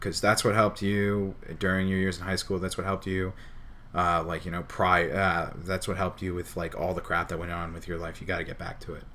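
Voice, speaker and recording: A man with an American accent talks fairly quickly in a very deep, low voice. His tone is bright and sharp, his intonation monotone and flat. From New Jersey. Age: 20s. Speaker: streamer. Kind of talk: casual chat. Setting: live stream.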